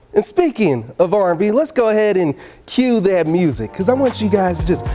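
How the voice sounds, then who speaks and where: With music in the background, a man speaks at a high pitch and a fairly quick pace in an upbeat, energetic tone, his pitch swinging very widely. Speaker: sports anchor and reporter. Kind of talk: studio sportscast delivery with casual, upbeat banter. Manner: upbeat, energetic, conversational.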